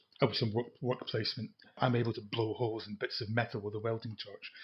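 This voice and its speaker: The voice belongs to a man at a medium pitch. He moves fairly quickly, his intonation monotone and flat. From Scotland, Edinburgh. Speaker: retired IT project manager. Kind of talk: casual chat. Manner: halting.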